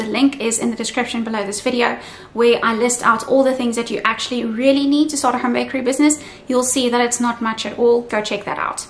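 With few pauses and a fast pace, a woman speaks at a fairly high pitch in fairly even intonation over faint background noise.

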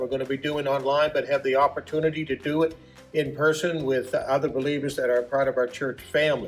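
Faint music plays in the background as a man speaks at a very fast pace in a monotone, flat intonation. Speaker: church pastor. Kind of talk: announcement to congregation. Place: hall. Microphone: camera far.

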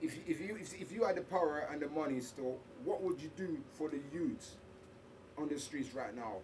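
Noticeable background noise is present. The talking goes at a moderate pace. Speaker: interviewer. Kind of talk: casual interview. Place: studio.

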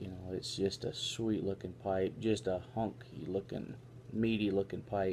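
A man talks at a fairly slow pace with a fairly low pitch and ordinary pitch variation over light background noise. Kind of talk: casual vlog chat. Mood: relaxed, pleased. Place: home room.

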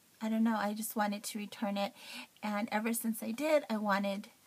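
Somewhat breathy speech from a woman, delivered at moderate speed. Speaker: beauty vlogger. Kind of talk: casual talk to camera.

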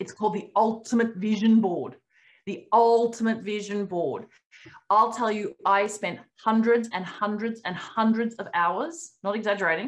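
In an Australian accent, a woman with a fairly high pitch speaks at a moderate pace with ordinary pitch variation against a quiet background. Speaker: company founder hosting a member webinar; webinar host. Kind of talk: casual webinar Q&A. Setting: video call. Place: home room. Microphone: webcam.

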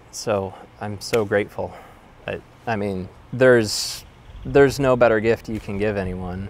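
With an American accent, a man at a fairly low pitch speaks at a moderate pace with ordinary pitch variation, long, frequent pauses and big swings in loudness, in a dry sound with no echo. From US Midwest, western suburbs of Chicago. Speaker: former patient sharing treatment experience. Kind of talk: personal testimony. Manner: halting, many fillers and repetitions. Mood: reflective, grateful. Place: garden. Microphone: lapel.

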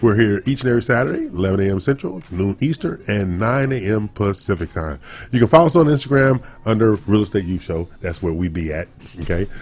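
With lively intonation, a man talks at a fairly quick pace in a fairly low pitch. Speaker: radio show host. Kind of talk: radio show opening banter and announcements. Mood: jovial, laughing. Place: studio. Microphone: studio mic.

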